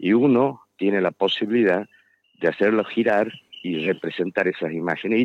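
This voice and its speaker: At a fairly slow pace, a man talks with fairly low pitch and ordinary pitch variation. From Tucumán, Argentina. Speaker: architect and author. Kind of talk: radio interview. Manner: hesitant, filler-heavy.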